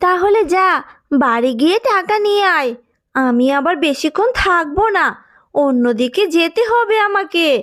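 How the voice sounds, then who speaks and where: On a very clean recording with a silent background, a woman uses a cartoonish character voice at an extremely high pitch, moving at a fairly slow pace. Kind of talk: street vendor hawking call. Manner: brisk, salesy.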